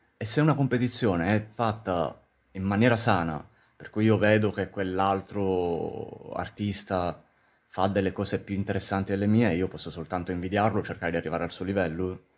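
A man with an ordinary speaking voice, fairly low in pitch, with ordinary pitch variation and a moderate pace. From Sicily, Syracuse. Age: 30s. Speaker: film graduate working in audiovisual production. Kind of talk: podcast interview.

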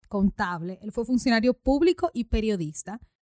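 Her pitch fairly high, a woman talks with very wide pitch swings. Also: dry, close sound with no echo. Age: 20s. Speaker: podcast host. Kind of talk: casual chat.

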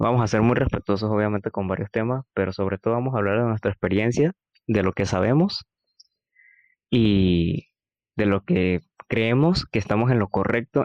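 At a moderate pace, a man with a fairly low voice is heard in a dry, close sound with no echo. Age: 20s. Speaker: university student and podcast co-host. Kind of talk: casual chat.

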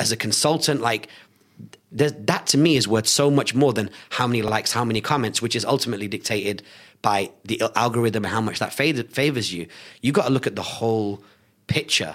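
An animated man with a British accent at a fairly quick pace. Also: medium pitch for a man, ordinary pitch variation. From Salford, Greater Manchester, England. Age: 30s. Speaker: entrepreneur and business speaker. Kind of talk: interview. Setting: studio.

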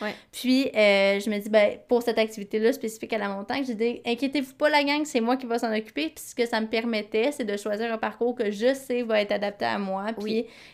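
Fairly quick delivery with hardly any pauses, fairly even intonation and big swings in loudness. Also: woman, fairly high pitch for a woman, very clean recording, silent background. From Quebec. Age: 20s. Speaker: podcast co-host. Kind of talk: casual chat.

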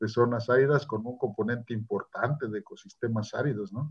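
Over a quiet background, a somewhat breathy man speaks at a moderate pace. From Mexico, southern Puebla (Mixteca region). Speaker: forestry scientist. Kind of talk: interview. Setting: at home, remote. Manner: halting, many repetitions.

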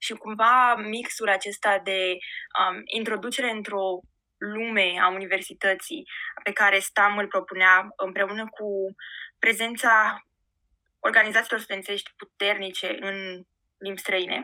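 A woman's medium-pitched, bright, sharp voice in a flat monotone on a very clean recording with a silent background. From Romania, Giurgiu. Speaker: marketing professional. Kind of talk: interview. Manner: hesitant, many filler sounds.

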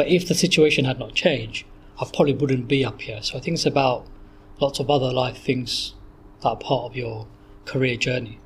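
With a Bedfordshire accent, a man talks at a fairly quick pace in a medium pitch, showing ordinary pitch variation and a somewhat breathy quality. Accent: southern English, Luton. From southern England, Luton, Bedfordshire. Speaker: psychology lecturer. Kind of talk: interview. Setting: in person recording. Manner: hesitant, many fillers.

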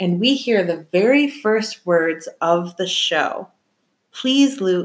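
With an American accent, a woman uses a normal speaking voice at a medium pitch with ordinary pitch variation. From Michigan. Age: 30s. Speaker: podcast host. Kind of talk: casual chat.

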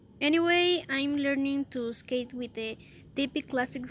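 A woman speaks with a Spanish accent. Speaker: student. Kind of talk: prepared self-introduction in a second language. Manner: halting.

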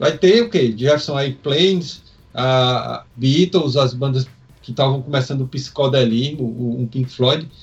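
A man talks at a fairly slow pace with a medium pitch. His voice is somewhat breathy. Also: ordinary pitch variation. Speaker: rock podcast co-host. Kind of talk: casual chat.

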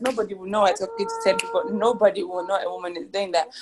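Through noticeable background noise, a woman with a fairly high pitch speaks at a very fast pace with lively intonation. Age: 20s. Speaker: podcast co-host. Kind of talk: casual chat.

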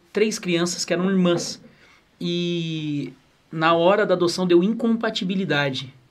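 This man's voice is high in pitch. His intonation stays fairly even. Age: 20s. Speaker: podcast co-host, pastor. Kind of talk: interview chat.

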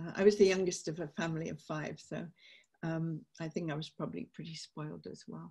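With a British accent, a woman speaks at a fairly quick pace with vocal fry, a fairly low pitch and big swings in loudness. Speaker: peace campaigner and author. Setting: video call.

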